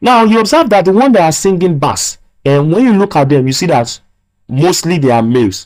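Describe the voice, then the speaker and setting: Very clean and silent in the background, the recording holds a man's high-pitched voice, moving quickly and swinging very widely in pitch. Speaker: physics teacher. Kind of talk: lecture. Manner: repetitive, emphatic.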